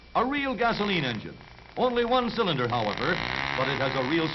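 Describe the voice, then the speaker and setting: Pitch swings very widely at a moderate pace over noticeable background noise. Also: man. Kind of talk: newsreel narration.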